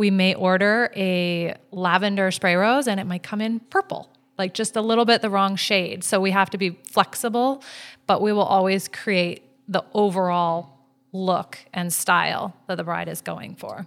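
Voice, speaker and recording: Delivered at a medium speed, a normal speaking voice keeps its intonation fairly level. The background is silent and the recording very clean. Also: woman, medium pitch for a woman. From Vancouver, Canada. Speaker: flower shop owner. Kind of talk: casual interview.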